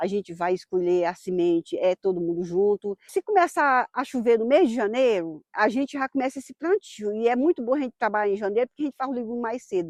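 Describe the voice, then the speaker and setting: Over a quiet background, a woman with an unremarkable speaking voice talks at a fairly quick pace with lively intonation, the sound dry and close with no echo. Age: 60s. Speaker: farmer. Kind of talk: documentary interview. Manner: casual, frequent tag questions.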